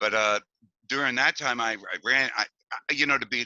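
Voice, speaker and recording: Recorded dry and close with no echo, a man with an American accent and a bright, sharp tone speaks at a moderate pace. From Hoboken, New Jersey. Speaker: musician, band drummer. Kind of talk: oral history interview.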